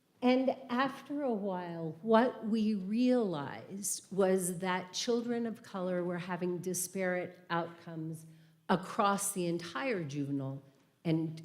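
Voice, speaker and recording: Over audible room echo, a woman with a fairly low pitch speaks at a fairly slow pace with lively intonation. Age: 60s. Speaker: retired judge and guest speaker. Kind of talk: church talk, personal reflection. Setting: church service, livestreamed.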